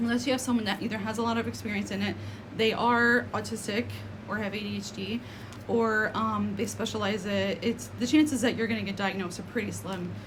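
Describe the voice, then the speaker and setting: Talking at a fairly quick pace in an American accent, a woman comes through with audible room echo and noticeable background noise. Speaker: spiritual content creator. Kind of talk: casual vlog monologue. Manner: fast; hesitant, many fillers.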